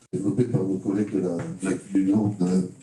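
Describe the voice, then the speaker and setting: Here a man is talking. His pace is fairly quick. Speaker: teacher educator, mathematics. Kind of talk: conference talk. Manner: halting, many hesitations.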